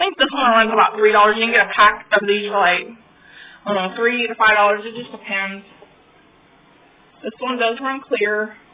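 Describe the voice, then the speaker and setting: Over noticeable background noise, a woman with a fairly high pitch talks at a fairly quick pace, using fairly even intonation, long, frequent pauses and big swings in loudness. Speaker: craft tutorial youtuber. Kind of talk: tutorial. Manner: fast.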